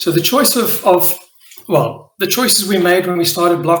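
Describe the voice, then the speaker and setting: There is audible room echo as a man with a South African accent speaks at a moderate pace. His pitch is high, with ordinary variation. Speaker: crypto project leader. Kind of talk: live AMA presentation. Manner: hesitant, many fillers.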